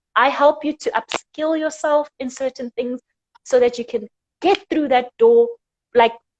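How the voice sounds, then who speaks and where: Heard with a dry, close sound and no echo, a woman talks high and animated, her pitch swinging very widely. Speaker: career coach. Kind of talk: interview.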